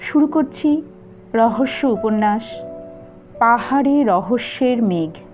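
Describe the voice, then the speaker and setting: Music is heard in the background. Over it, a woman speaks with lively intonation. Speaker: audiobook narrator. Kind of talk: audiobook introduction.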